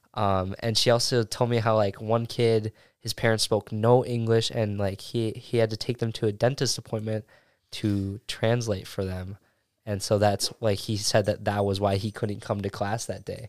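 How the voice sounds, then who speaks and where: Fairly low-pitched man with a Wisconsin accent, flat and monotone, on a very clean recording with a silent background. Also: moderate pace. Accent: Upper Midwest (Wisconsin) American. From Oshkosh, Wisconsin. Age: 19. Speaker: college student. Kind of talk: casual chat.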